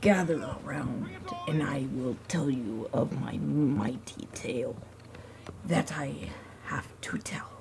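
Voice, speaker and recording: The speaker uses a put-on character voice that is raspy, with a low-to-middle pitch and a fairly slow pace. Clear background noise can be heard. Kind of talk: storytelling.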